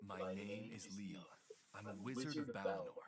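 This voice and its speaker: In a put-on character voice, a man speaks at a moderate pace and a fairly low pitch. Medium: machinima.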